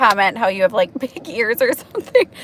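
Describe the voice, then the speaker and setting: With a Wisconsin accent, a woman speaks in lively intonation over noticeable background noise. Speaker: nurse. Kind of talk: casual chat.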